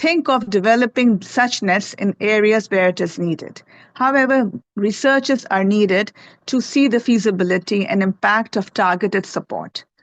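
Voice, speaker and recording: In a Pakistani accent, a woman speaks at a moderate pace with a fairly high pitch. Her pitch varies in an ordinary way, and the sound is dry and close with no echo. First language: Urdu. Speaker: health researcher presenting at a conference. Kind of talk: conference presentation. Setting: conference presentation with slides.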